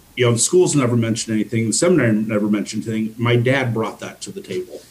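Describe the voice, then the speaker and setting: A man's medium-pitched voice with ordinary pitch variation over noticeable background noise. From US, army family, moved around. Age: 50s. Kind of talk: interview.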